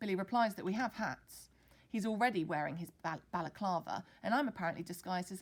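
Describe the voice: With ordinary pitch variation, this is plain reading aloud.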